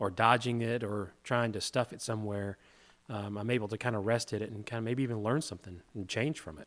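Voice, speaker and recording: With a normal speaking voice, a man talks at a fairly quick pace and medium pitch, keeping his intonation fairly even while his loudness swings widely. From US South, Hot Springs, Arkansas. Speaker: co-host, men's group leader. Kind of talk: casual discussion on faith.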